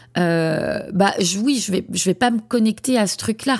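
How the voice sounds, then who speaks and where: The intonation is lively, captured on a very clean recording against a silent background. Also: woman. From France, Lyon region. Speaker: podcast host, founder of a platform for child therapists. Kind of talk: solo podcast monologue. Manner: hesitant, many fillers and repetitions.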